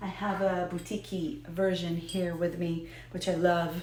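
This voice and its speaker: A woman with an American accent and a fairly low pitch, at a fairly slow pace, with audible room echo and noticeable background noise. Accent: American Israeli. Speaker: whiskey video host. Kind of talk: casual talk to camera about whiskey history. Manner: halting, many fillers.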